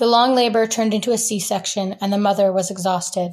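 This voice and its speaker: A woman with an American accent speaks in a normal speaking voice at a fairly high pitch. Her intonation is fairly even, and the recording is very clean with a silent background. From US Northeast (rural Vermont). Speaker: writer and photographer. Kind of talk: reading aloud; interview.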